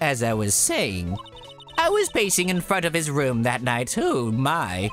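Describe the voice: What we hear is someone doing plain reading aloud.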